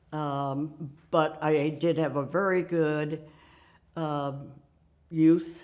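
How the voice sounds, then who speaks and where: With an American accent, a woman speaks at a very deep, low pitch. Her intonation stays fairly even. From Nebraska, US Midwest. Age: 90s. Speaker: women's rights activist. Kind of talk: oral history interview. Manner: halting.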